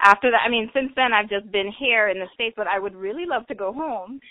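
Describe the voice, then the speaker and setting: Ordinary pitch variation in a Bahamian accent. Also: woman. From Bahamas (Nassau, Grand Bahama). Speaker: carnival enthusiast, former student athlete. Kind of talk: interview. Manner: casual, chatty.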